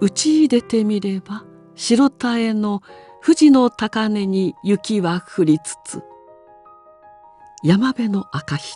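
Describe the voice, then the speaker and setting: In a calm, gentle tone, the voice moves at a very slow pace with long, frequent pauses, lively intonation and big swings in loudness, in a dry, close sound with no echo and music in the background. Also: woman. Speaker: former TV announcer. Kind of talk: classical poetry reading.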